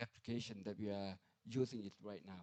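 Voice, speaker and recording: A man with a Thai accent speaks in a dark, mellow tone. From Thailand. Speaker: nuclear research institute director. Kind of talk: conference presentation. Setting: conference hall with audience. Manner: halting, many fillers.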